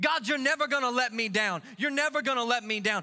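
Raised and projected, a man's extremely high, bright, sharp voice carries an animated tone and lively intonation. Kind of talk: sermon in full flow, with call-and-response and a worship exhortation. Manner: loud, rallying, rhythmic, crowd-driving.

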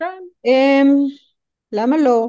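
With an American accent, a woman speaks very slowly in a dark, mellow tone with ordinary pitch variation. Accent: American accent in Hebrew. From United States. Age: 40s. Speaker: movement coach and human design practitioner. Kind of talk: podcast interview.

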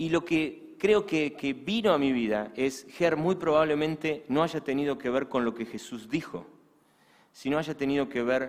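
This man has a normal speaking voice at a fairly high pitch. He speaks at a fairly slow pace with lively intonation. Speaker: pastor. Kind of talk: sermon.

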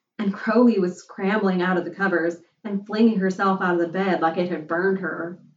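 The text is given a plain reading aloud, with the intonation held fairly even.

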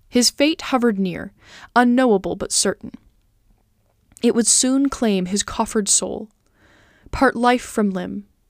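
A woman's fairly high, solemn and dramatic voice at a fairly slow pace, with long, frequent pauses and ordinary pitch variation, in a very clean, dry, close recording with a silent background and no echo. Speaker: podcast host and narrator reading literature aloud. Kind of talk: audiobook-style reading aloud of an epic poem. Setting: home recording, cat nearby. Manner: measured, solemn storyteller pace with formal, dramatic cadence; warm, friendly and earnest when speaking as herself.

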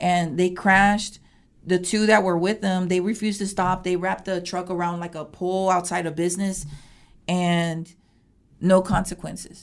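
A woman speaks at a medium pitch with an American accent and monotone, flat intonation on a very clean recording with a silent background. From Houston, Texas. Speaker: community crime reporter. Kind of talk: interview. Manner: halting.

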